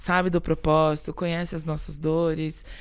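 Her pitch fairly low, a woman talks at a moderate pace in an ordinary speaking voice. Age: 40s. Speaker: human resources executive. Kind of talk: interview. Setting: studio.

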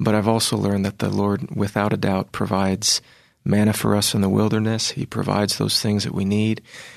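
With an American accent, a man speaks fairly quickly in an ordinary speaking voice, fairly low-pitched with fairly even intonation. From Virginia, US. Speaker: classical tenor singer. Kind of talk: interview.

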